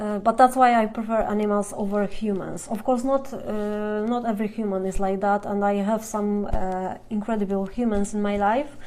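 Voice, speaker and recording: A woman's medium-pitched, monotone, flat delivery with hardly any pauses, over noticeable background noise. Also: moderate pace. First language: Polish. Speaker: fan blogger. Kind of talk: live Q&A stream. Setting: Instagram live video. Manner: halting.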